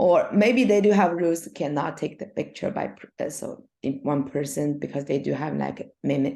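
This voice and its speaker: A woman speaks with a Chinese accent in a very deep, low voice with a dark, mellow tone. Her delivery is fairly slow, with vocal fry and ordinary pitch variation. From China. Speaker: swim coach and former Olympic swimmer. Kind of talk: casual interview. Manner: halting.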